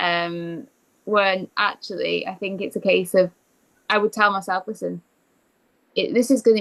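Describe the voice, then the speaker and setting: A woman with a medium-pitched voice talks at a moderate pace with fairly even intonation, long, frequent pauses and big swings in loudness, all in a dry, close sound with no echo. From England. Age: 20s. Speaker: eating disorder recovery coach. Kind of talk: interview.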